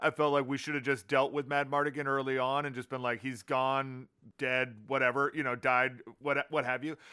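This man's voice has a bright, sharp tone, captured in a very clean recording against a silent background. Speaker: podcast co-host. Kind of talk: casual chat.

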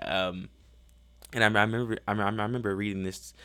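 In an American accent, a man talks at a moderate pace with a fairly low pitch and monotone, flat intonation, on a very clean recording with a silent background. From Chicago, later Texas. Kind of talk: solo podcast monologue. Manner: halting, many repetitions and fillers.

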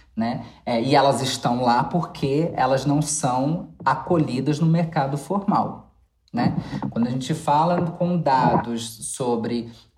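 A woman's very deep, low pitch at a very slow pace, with audible room echo. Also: ordinary pitch variation. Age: 30s. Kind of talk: casual chat.

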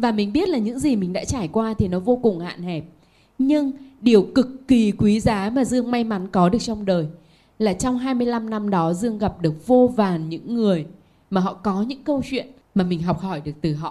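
A somewhat breathy woman's voice at a moderate pace, with lively intonation. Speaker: author and manager. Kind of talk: panel talk.

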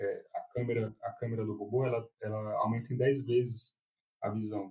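Somewhat breathy, the voice has a dark, mellow tone and a Brasília accent. Its intonation is monotone and flat. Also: man. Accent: Brazilian Portuguese, Brasília. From Brazil, Brasília. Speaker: urologist. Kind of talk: interview. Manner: halting, frequent repetitions.

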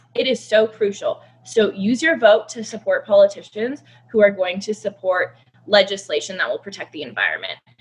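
Somewhat breathy and fairly quick, this voice has ordinary pitch variation and big swings in loudness. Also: woman, fairly high pitch for a woman. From Canada. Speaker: conservationist. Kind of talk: casual chat.

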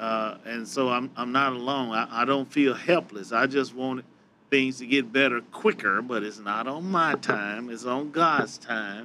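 A man with an ordinary speaking voice, medium pitch, ordinary pitch variation and a fairly slow pace. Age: 60s. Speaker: church lay leader. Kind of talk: panel discussion.

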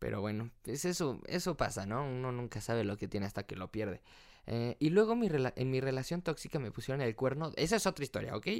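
In a Mexican accent, a man talks at a fairly quick pace with lively intonation and an animated tone. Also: medium pitch for a man, very clean recording, silent background. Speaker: podcast host. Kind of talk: casual chat.

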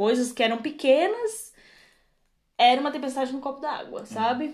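The woman's voice is high in pitch, and she moves at a fairly quick pace. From Brazil, Rio Grande do Sul (Torres). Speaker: podcast co-host. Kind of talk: casual chat. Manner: loud barking laugh.

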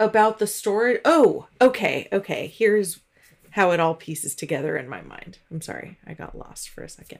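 With a medium pitch, vocal fry and lively intonation, a woman speaks at a moderate pace as her loudness swings widely. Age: 40s. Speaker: podcast co-host. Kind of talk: casual chat.

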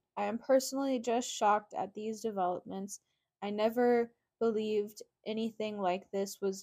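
Over a quiet background, the speaker does plain reading aloud with fairly even intonation.

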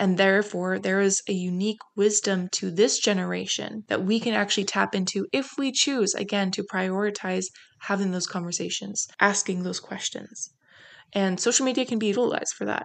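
In a Canadian accent, a woman with an unremarkable speaking voice speaks at a medium pitch and a moderate pace with fairly even intonation. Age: 20s. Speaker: podcast host. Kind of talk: solo podcast monologue.

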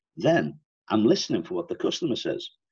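A man speaks at a fairly quick clip with a Liverpool accent. The sound is dry and close, with no echo. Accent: Liverpool Scouse. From Liverpool, England. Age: 60s. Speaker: sales consultant and author. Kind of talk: interview, conversational explanation.

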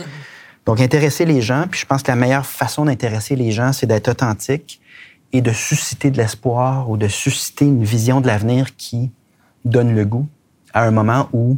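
A man speaks at a moderate pace and medium pitch with ordinary pitch variation, taking long, frequent pauses. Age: 40s. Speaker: politician. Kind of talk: interview.

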